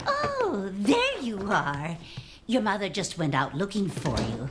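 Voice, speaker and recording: A female-sounding put-on character voice at medium pitch moves at a fairly slow pace over clear background noise. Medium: short film. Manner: warm, folksy, old-fashioned endearments.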